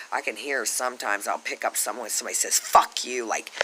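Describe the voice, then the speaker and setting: This man talks at a very fast pace. Noticeable background noise sits behind him. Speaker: vlogger. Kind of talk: rant. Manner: loud; animated.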